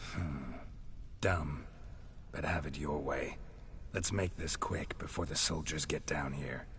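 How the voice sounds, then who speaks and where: A man puts on a character voice and talks at a fairly slow pace with long, frequent pauses, while background noise is clearly audible. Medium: video game. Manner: terse, low-key, dry.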